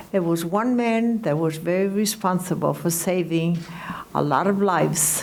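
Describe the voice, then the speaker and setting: A woman speaks at a fairly low pitch with very even loudness. Audible room echo and noticeable background noise surround her voice. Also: ordinary pitch variation, moderate pace. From Greece. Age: 80s+. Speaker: Holocaust survivor and entertainer. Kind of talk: testimony.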